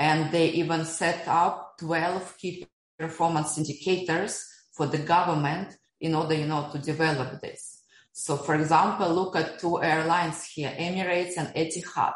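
A woman with a Russian accent speaks in a fairly low, flat monotone at a moderate pace. Audible room echo surrounds her voice. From Russia, Siberia. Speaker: economist and blockchain entrepreneur. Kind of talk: interview.

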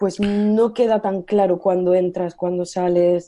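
Her tone is dark and mellow. The woman speaks at a fairly slow pace against a quiet background. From Spain, Almería (Andalusia). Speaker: Spanish language teacher. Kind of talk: podcast segment presentation.

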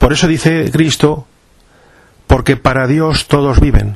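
A man speaks over noticeable background noise. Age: 50s. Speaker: podcast host. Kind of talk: monologue to listeners.

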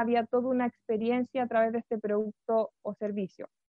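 The woman's pitch is fairly high and her pace moderate. She speaks in a flat monotone. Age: 20s. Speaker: human resources lecturer and speaker. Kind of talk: webinar talk.

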